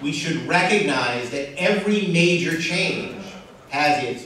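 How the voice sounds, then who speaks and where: There is strong room echo and light background noise as a man speaks at a high pitch and a fairly slow pace with ordinary pitch variation. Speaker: panel moderator, regional planning director. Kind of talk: panel moderation and introductions. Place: hall. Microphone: camera far.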